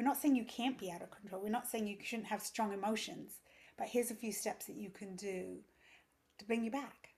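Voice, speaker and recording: Speaking at a fairly quick pace, a woman with an English accent has a fairly high, somewhat breathy voice and fairly even intonation. Her loudness swings a lot. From England. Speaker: yoga teacher and parenting coach. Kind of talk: casual interview.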